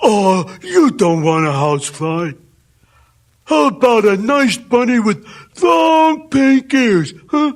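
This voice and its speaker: A man puts on a character voice, high-pitched with very wide pitch swings. He talks at a fairly slow pace. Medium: read story. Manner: halting, stammering with many uh's.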